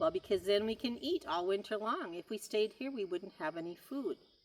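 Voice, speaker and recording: Someone uses a put-on character voice with a fairly high pitch. The pace is fairly quick. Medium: read story. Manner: friendly.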